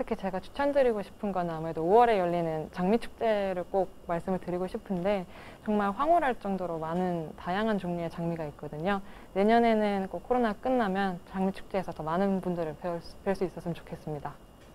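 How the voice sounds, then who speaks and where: A woman's dark, mellow tone at a fairly quick pace, with ordinary pitch variation over light background noise. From Seoul, South Korea. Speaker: plant technical staff member; interviewee. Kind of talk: local resident interview. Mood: warm, enthusiastic. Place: home room.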